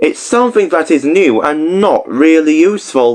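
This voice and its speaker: A man puts on a character voice, pitched fairly high. He speaks at a moderate pace. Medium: read story. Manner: sniffy, stubborn.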